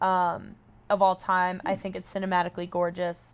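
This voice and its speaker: On a very clean recording with a silent background, a woman of medium pitch with an American accent talks at a moderate pace in a plain, everyday voice. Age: 20s. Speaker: social media personality. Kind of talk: casual chat.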